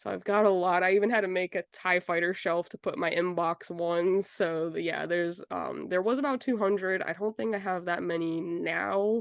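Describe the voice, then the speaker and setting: A woman with a normal speaking voice talks at a moderate pace and a fairly low pitch, with ordinary pitch variation and hardly any pauses, in a dry, close sound with no echo. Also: quiet background. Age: 20s. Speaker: collector. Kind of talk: interview.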